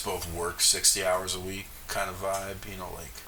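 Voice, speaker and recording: Against noticeable background noise and audible room echo, a man with an American accent speaks fairly slowly in a very deep, low pitch. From US South, Jackson, Mississippi, then Minnesota from sixth grade. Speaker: jazz bassist. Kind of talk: casual interview. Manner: casual, filler-heavy.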